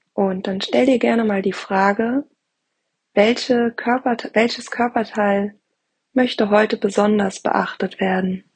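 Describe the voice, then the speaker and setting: At a very slow pace, a woman speaks in a fairly high, somewhat breathy voice with fairly even intonation. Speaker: podcast host. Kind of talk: guided meditation. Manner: slow, calm and soothing; soft-spoken, gentle, with long pauses.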